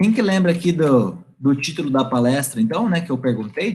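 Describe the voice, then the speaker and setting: A man is speaking. His pitch swings very widely. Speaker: guest lecturer, IT company representative. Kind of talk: online lecture to university class. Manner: fast when excited; animated.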